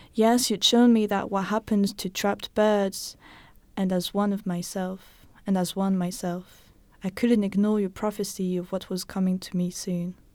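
A woman with a non-native accent, medium in pitch, at a moderate pace with monotone, flat intonation, in a very clean recording with a silent background. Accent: foreign accent in English. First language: not English. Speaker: podcast co-host. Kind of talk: reading poetry aloud.

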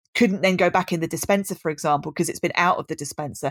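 A woman with a southern English accent talks at a very fast pace with ordinary pitch variation, in a dry, close sound with no echo and a very clean recording against a silent background. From southern England, Brighton. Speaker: design lecturer. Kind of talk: casual interview.

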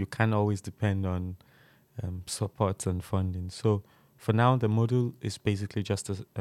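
A man speaks at a moderate pace and a fairly low pitch. The recording is very clean, dry and close, with a silent background and no echo. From Nigeria. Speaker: student entrepreneur. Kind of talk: interview. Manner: halting, frequent um.

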